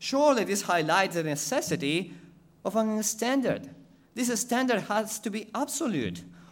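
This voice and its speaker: A man speaks at a moderate pace with an Ecuadorian accent. His intonation is lively. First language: Spanish. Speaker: missionary preacher. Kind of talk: sermon. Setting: church.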